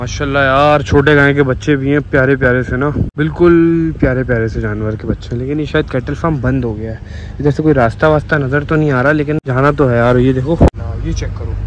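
Recorded with a dry sound and no echo, a man talks at a moderate pace with fairly even intonation over light background noise. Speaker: vlogger. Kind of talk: casual vlog chat. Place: farm. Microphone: phone near.

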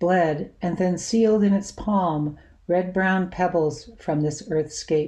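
Somewhat breathy, a woman speaks very slowly at a fairly low pitch. Her tone is dark and mellow, and the background is quiet. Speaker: poet. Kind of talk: poetry reading, spoken word; poetry reading. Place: home room. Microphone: webcam.

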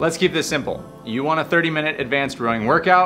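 Faint music plays behind a man who speaks with ordinary pitch variation. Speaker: rowing coach. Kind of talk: tutorial. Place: gym.

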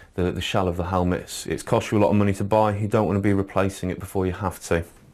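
At a very fast pace, a man speaks with a fairly low pitch. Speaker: shop staff demonstrator. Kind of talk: tutorial. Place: studio.

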